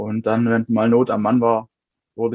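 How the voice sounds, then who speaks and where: A man talks at a moderate pace with a medium pitch. The sound is dry and close, with no echo. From Swabia, near Stuttgart. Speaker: funeral director. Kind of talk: interview.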